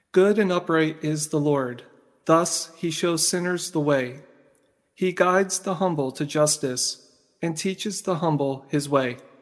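A man has a plain, everyday voice with a fairly high pitch. He talks at a fairly slow pace with ordinary pitch variation. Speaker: liturgical reader. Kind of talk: scripture reading aloud.

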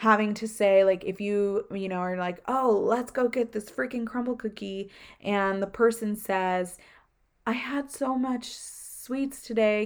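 Fairly slow speech comes from a woman. The background is silent and the recording very clean. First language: not English. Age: 20s. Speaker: podcast host. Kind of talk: casual solo talk.

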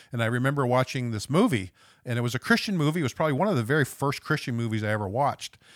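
Speaking very fast with an Atlantic Canadian accent, a man uses a medium pitch and lively intonation. The sound is dry and close with no echo, on a very clean recording with a silent background. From West Saint John, New Brunswick, Canada. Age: 50s. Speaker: recovery ministry member, charity manager. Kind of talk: personal testimony in conversation.

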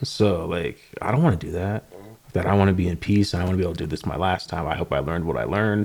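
On a very clean recording with a silent background, a man speaks at a very fast pace with a very deep, low pitch and ordinary pitch variation. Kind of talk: casual chat.

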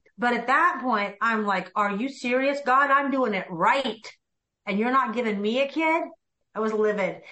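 A woman with an unremarkable speaking voice, ordinary pitch variation, and a moderate pace. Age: 50s. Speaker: real estate team leader and coach. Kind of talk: interview.

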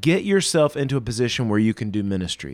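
A man with a normal speaking voice at a medium pitch talks at a fairly quick pace. His intonation is lively. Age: 30s. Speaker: pastor. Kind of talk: casual chat. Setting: video call.

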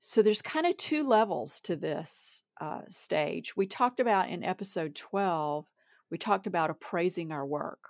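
A woman with a normal speaking voice at medium pitch, lively intonation and a moderate pace, on a very clean recording with a silent background and a dry, close sound with no echo. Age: middle-aged. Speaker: writer and editor, podcast co-host. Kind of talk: casual chat.

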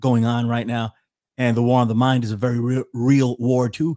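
On a very clean recording with a silent background, a man with a New York accent speaks at medium pitch and a moderate pace. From New York City, the Bronx. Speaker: podcast host and researcher. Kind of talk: talk show interview.

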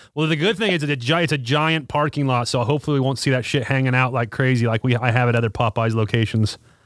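A man's very fast, medium-pitched delivery, hardly any pauses, very even loudness and ordinary pitch variation. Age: 30s. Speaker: motorcycle shop podcast host. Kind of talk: casual chat. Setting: video call.

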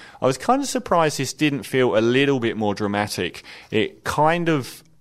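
A man talks at a moderate pace. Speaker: film reviewer. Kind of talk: film review. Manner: opinionated, conversational, somewhat hesitant with filler words.

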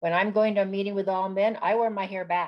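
A woman speaks with monotone, flat intonation. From New Mexico (Corrales, near Albuquerque). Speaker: retired government official and community leader. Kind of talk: interview.

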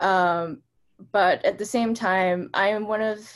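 A woman with a normal speaking voice, at a medium pitch and with ordinary pitch variation. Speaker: parent and university teacher. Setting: video call.

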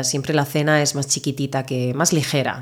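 A woman's very deep, low voice carries fairly even intonation. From Murcia, southeastern Spain. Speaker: Spanish teacher, podcast co-host. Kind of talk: casual interview conversation; scripted intro.

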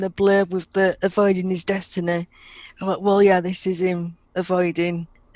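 Medium pitch and moderate pace from a woman, noticeable background noise behind her. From England, Sheffield. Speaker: podcast co-host. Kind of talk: casual chat.

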